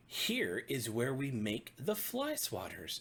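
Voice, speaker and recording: A man's put-on character voice, medium in pitch, with a cheerful tone and a fairly slow pace. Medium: read story. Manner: cheerful, presenting.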